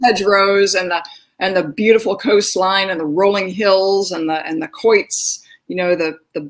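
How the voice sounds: At a moderate pace, a woman speaks with a medium pitch and fairly even intonation.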